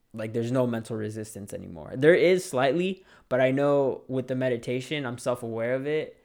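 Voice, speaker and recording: A man's plain, everyday voice, medium in pitch, at a fairly quick pace with ordinary pitch variation. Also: hardly any pauses. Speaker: podcast host, aspiring real estate agent. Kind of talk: motivational talk. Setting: solo recording at a mic. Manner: casual, conversational.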